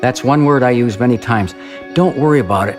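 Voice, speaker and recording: A man speaks at a medium pitch with ordinary pitch variation, and music plays in the background. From Ohio, USA. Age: 70s. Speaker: amateur marathon runner. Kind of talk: interview answer.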